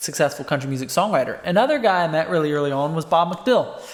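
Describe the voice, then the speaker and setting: Noticeable background noise behind an American accent. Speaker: country songwriter. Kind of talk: casual vlog monologue. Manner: conversational, filler-heavy.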